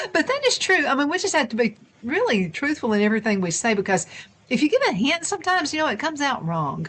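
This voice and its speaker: A woman's high-pitched voice with a Southern US accent, very fast, with very wide pitch swings. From US South. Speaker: talk show host. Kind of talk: casual chat.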